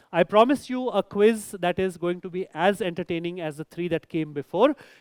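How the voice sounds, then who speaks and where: A man with a Marathi accent talks at a moderate pace in a high pitch with lively intonation. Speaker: quizmaster. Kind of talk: live quiz hosting. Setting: stage with audience. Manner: animated.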